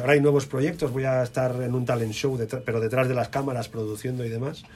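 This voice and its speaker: A man talks at a very fast pace in a medium-pitched, somewhat breathy voice. His intonation stays fairly even. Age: 40s. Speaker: DJ and radio music director. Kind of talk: interview.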